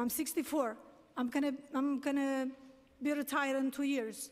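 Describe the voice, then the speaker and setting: A woman's high voice moves along at a moderate pace. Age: 60s. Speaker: taxi medallion owner testifying at a hearing. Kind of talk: public testimony. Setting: city council hearing. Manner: halting. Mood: distressed, pleading. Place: hall. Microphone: podium.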